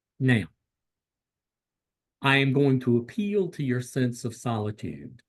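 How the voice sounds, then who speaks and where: A man with an American accent, medium pitch, lively intonation, a fairly slow pace and long, frequent pauses. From US South. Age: 60s. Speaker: clinical psychologist. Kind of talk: lecture. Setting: video call.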